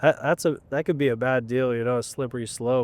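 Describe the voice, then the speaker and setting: An ordinary speaking voice from a man with an American accent, medium in pitch, fairly quick in pace, fairly even in intonation, on a very clean recording with a silent background. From Colorado. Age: 20s. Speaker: lineman crew foreman. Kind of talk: interview conversation. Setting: outdoors on job site. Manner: casual.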